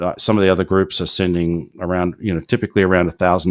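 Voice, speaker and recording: A man speaks very fast in a very deep, low voice. His intonation stays monotone and flat. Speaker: business opportunity presenter. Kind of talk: live webinar Q&A. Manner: hesitant, many fillers.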